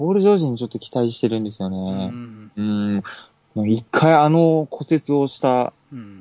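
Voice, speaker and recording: A man talks fairly quickly in an ordinary speaking voice at a medium pitch. His intonation is lively. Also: big swings in loudness. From Okinawa, Japan. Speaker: basketball shop employee and fan. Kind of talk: casual chat.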